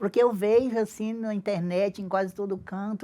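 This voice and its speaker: A medium-pitched woman speaks at a moderate pace with fairly even intonation. The recording is very clean, with a silent background. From Brazil, Acre (Tarauacá, Amazon rubber-tapper family). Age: 60s. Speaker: traditional singer-songwriter. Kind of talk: interview. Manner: halting.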